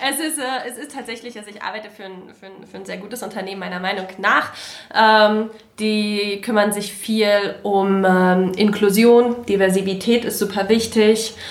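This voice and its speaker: Against noticeable background noise, a woman speaks at a moderate pace with fairly even intonation and big swings in loudness. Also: medium pitch for a woman. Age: 30s. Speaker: political volunteer and office manager. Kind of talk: casual chat.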